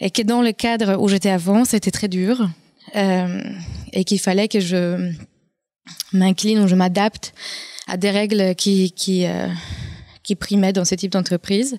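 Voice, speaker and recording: A woman with a Polish accent speaks at a fairly slow pace in a dark, mellow tone, with monotone, flat intonation, very even loudness and long, frequent pauses, in a dry, close sound with no echo. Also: medium pitch for a woman. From Poland. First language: Polish (speaking French). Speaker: entrepreneur, former marketing manager. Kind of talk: round-table discussion.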